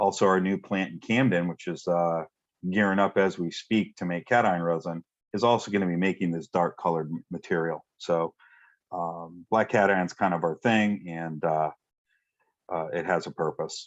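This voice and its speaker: A man speaks in a very deep, low voice. His intonation stays fairly even. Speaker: technical presenter on ion exchange resin. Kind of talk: webinar presentation. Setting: online webinar. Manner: fast.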